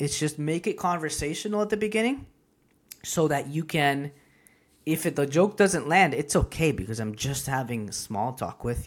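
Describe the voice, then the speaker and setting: On a very clean recording with a silent background, someone speaks at a moderate pace with a Spanish accent. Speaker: comedian and business owner. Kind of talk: casual interview chat.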